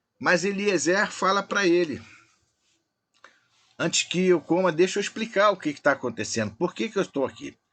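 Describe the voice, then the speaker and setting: The speaker is a man with a high voice. He talks at a moderate pace. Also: long, frequent pauses, big swings in loudness. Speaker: Bible study teacher. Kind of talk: online Bible study lesson.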